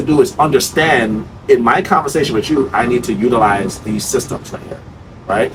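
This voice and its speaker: Noticeable background noise runs under a man speaking in an animated tone. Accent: American. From New York. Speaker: sales trainer. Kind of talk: sales role-play and casual discussion. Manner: fast.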